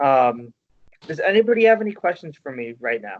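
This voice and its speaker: A man talks in a normal speaking voice with lively intonation. His pace is moderate. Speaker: workshop facilitator teaching resume writing. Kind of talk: workshop presentation.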